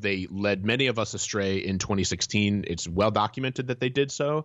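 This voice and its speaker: A man has an ordinary speaking voice, fairly low in pitch with ordinary pitch variation. He talks at a fairly slow pace. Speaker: content editor and newsletter author. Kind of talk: interview discussion.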